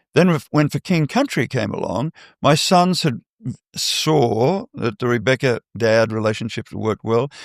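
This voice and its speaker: In an Australian accent, a man speaks at a medium pitch and fairly slow pace with lively intonation, in a very clean recording with a silent background and dry, close sound with no echo. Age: 70s. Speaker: artist manager. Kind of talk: interview.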